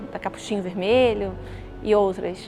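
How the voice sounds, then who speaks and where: A woman speaking at a fairly slow pace amid noticeable background noise and audible room echo. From Brazil, Rio de Janeiro. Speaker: journalist. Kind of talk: interview testimony. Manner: halting.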